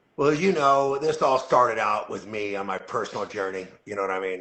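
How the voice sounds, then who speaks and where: A man with a plain, everyday voice talks at a fairly quick pace with ordinary pitch variation. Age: 60s. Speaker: company CEO. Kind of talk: casual interview chat. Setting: live video call.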